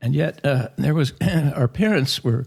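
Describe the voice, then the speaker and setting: Vocal fry marks the speech of a man in an American accent. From US West, Oregon. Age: 70s. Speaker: spiritual author and former secretary to a guru. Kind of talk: podcast interview.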